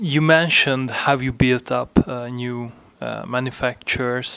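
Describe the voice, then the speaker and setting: A man speaks with a Hungarian accent. His pitch is medium. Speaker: podcast host. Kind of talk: interview. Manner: halting.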